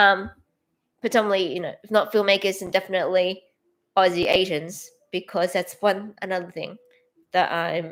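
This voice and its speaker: The speaker has an Australian accent and a moderate pace, with long, frequent pauses. The intonation is monotone and flat, while the loudness swings widely. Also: woman, medium pitch for a woman. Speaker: filmmaker and artist, channel owner. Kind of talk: casual livestream self-introduction. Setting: livestream, solo to camera. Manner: hesitant, many fillers and restarts.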